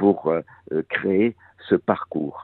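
His pitch fairly low with ordinary variation, the man speaks at a very slow pace. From Corsica (Cap Corse, Bastia). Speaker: contemporary artist. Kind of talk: radio interview. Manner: halting, many hesitations.

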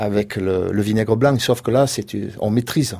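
In a very clean recording with a silent background, a man with a Marseille accent speaks at a moderate pace and medium pitch, his tone dark and mellow and his intonation fairly even. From Provence, Le Rove near Marseille. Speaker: goat farmer. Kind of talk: radio interview. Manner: halting.

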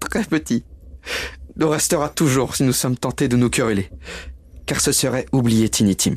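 A man speaks at a moderate pace with a warm tone, vocal fry, ordinary pitch variation and very even loudness, leaving long, frequent pauses. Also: medium pitch for a man. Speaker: actor reading character Bob Cratchit. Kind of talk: dramatized audio reading of a literary tale. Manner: warm, emotional, earnest.

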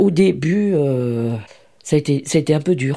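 A woman's very deep, low voice, dark and mellow in tone, very slow, with ordinary pitch variation. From France, Lyon (Saint-Fons). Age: 70s. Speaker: retired charity volunteer. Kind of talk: interview testimony.

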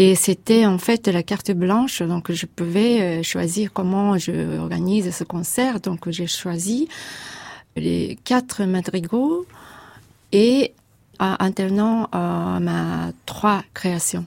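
Speaking at a very slow pace, a woman is heard in a very clean recording with a silent background. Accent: Japanese. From Japan. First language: Japanese (speaking French). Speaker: composer. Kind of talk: interview. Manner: halting.

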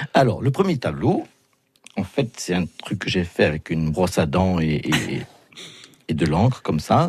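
Very deep, low male voice, somewhat breathy, with long, frequent pauses. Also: lively intonation. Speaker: comedian and painter. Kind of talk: interview. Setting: studio.

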